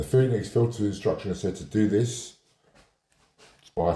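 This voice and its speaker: A man speaks at a fairly low pitch with ordinary pitch variation. His voice is somewhat breathy with a dark, mellow tone. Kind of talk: how-to tutorial. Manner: slow.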